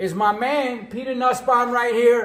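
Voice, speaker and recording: A man speaks in an extremely high pitch with an animated tone. His delivery is fairly slow, and room echo is audible. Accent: New York. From New York City. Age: 60s. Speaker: cooking show host and musician. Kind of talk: casual chat.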